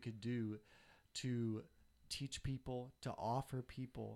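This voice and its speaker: At a very slow pace, a man with a medium pitch speaks in a Southern US accent. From Tennessee. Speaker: photographer. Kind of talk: casual chat.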